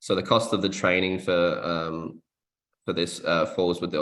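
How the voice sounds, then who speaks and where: Speaking in an Australian accent, the voice holds fairly even intonation at a moderate pace. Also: man. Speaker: workshop presenter. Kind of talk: workshop presentation. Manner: hesitant, many fillers.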